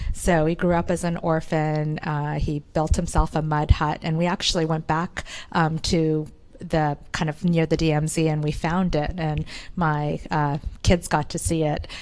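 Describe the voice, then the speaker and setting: In a very clean recording with a silent background, a woman with a Korean accent speaks at a fairly slow pace, her very deep, low pitch held in a monotone, flat intonation. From Canada. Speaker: entrepreneur. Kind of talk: interview.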